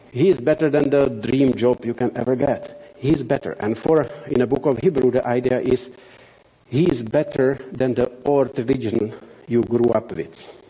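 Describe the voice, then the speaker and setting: Over noticeable background noise, a man with a Czech accent talks at a moderate pace and medium pitch with ordinary pitch variation. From Czech Republic. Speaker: missionary. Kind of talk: church talk / sermon. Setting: church with audience. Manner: halting, frequent fillers.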